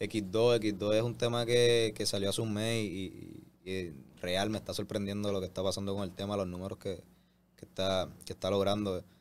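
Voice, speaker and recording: A man with a Puerto Rican accent speaks at a fairly low pitch with ordinary pitch variation. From Puerto Rico. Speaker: reggaeton artist. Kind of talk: interview. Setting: studio. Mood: pleased, relaxed. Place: studio. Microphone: studio mic.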